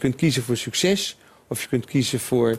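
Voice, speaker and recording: Here a man speaks with a plain, everyday voice at medium pitch. His intonation is lively and his pace fairly quick. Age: 60s. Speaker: retail entrepreneur. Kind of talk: interview.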